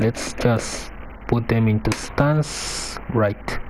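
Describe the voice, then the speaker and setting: The voice has a non-native accent and fairly even intonation. Noticeable background noise runs underneath. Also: man. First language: not English. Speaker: fighting game player. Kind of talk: tutorial. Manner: halting.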